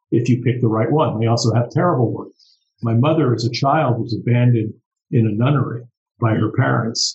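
Speaking with an American accent, a man keeps a fairly quick pace at medium pitch. His voice is somewhat breathy, with fairly even intonation. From US, New York. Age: 60s. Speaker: artist. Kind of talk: casual panel discussion. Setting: video call.

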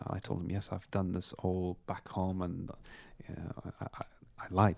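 A man with a very deep, low voice at a moderate pace, in a very clean recording with a silent background. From Afghanistan (Kabul). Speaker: doctor and charity founder. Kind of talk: interview conversation.

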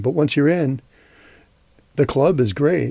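A man speaks at a moderate pace in a somewhat breathy voice with a dark, mellow tone, recorded very cleanly against a silent background. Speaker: podcast host. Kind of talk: casual chat.

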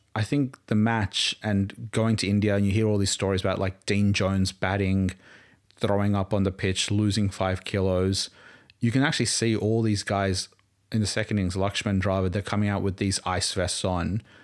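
A man speaks in a fairly low pitch with monotone, flat intonation. The recording is very clean, with a silent background. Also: moderate pace, very even loudness. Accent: Australian. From Australia, Queensland. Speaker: cricket fan. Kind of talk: casual chat.

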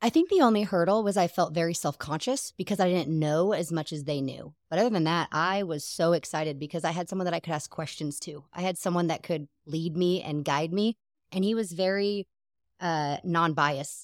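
A woman speaks at a fairly low pitch with ordinary pitch variation. The sound is dry and close with no echo, in a very clean recording with a silent background. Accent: American. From Seattle, US Pacific Northwest. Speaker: guest, newlywed wife. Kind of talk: casual interview chat.

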